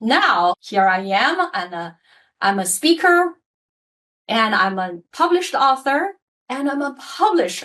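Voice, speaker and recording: Speaking at a very slow pace with a Mandarin accent, a woman lets her pitch swing very widely. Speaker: leadership coach and author. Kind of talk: podcast interview.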